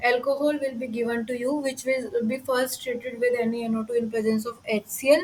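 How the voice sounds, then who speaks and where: A woman speaks at a moderate pace in an Indian accent, her high pitch held fairly even in intonation. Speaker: teaching assistant. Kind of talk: lecture.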